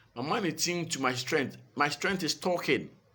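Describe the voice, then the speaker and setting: There is vocal fry in a man's voice. He talks at a moderate pace. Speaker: motivational speaker. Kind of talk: motivational talk.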